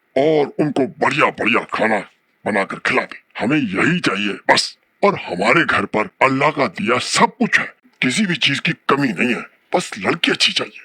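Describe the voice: A man's cartoonish character voice, fairly high in pitch, at a moderate pace with very wide pitch swings.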